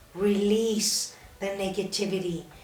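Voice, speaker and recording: A woman speaks at a fairly slow pace in a flat monotone, with audible room echo and music playing in the background. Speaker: cancer survivor podcast host. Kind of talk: casual chat. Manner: soft-spoken.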